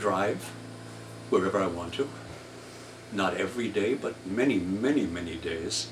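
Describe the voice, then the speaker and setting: In a room with audible echo and noticeable background noise, a man speaks at a fairly slow pace and fairly low pitch with ordinary pitch variation. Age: 80s+. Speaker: artist and playwright. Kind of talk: casual monologue. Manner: halting.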